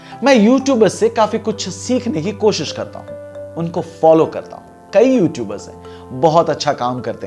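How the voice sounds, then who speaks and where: A man's high voice with very wide pitch swings and big swings in loudness, music in the background. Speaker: radio jockey and anchor. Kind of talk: casual talk to camera.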